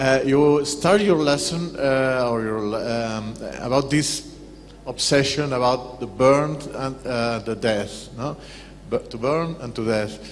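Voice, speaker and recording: Noticeable background noise and audible room echo surround a man speaking at a very slow pace. His pitch is medium, with ordinary variation. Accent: non-native. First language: Spanish. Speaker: audience member asking questions. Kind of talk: Q&A comment. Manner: halting.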